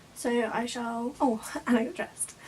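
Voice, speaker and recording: Over noticeable background noise, a woman talks with a high pitch. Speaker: beauty vlogger. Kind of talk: casual talk to camera. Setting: indoors, bedroom.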